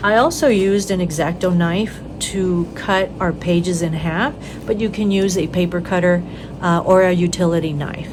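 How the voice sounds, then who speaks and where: Over noticeable background noise and audible room echo, a woman speaks at a fairly low pitch with fairly even intonation. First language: Spanish. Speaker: craft tutorial host. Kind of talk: tutorial. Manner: casual, with many fillers.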